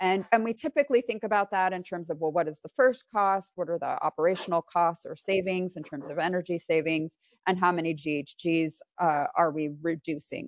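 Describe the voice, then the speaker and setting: A woman's fairly low voice, an unremarkable speaking voice, fairly quick with ordinary pitch variation. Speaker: resilience strategy consultant. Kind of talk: slide presentation.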